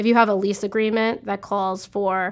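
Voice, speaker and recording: Moderate pace and medium pitch from a woman in a monotone, flat intonation. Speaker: accounting manager in real estate. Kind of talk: explanatory professional discussion.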